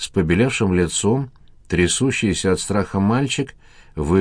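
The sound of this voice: A reading done in an unforced reading voice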